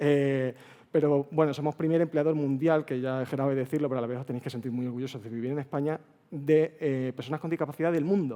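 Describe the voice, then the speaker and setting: Talking at a very fast pace, a man with an Extremaduran accent uses a dark, mellow tone and fairly even intonation. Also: fairly high pitch for a man. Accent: Extremadura Spanish. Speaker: accessibility speaker at a developer conference. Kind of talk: conference talk. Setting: stage with audience. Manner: casual, chatty.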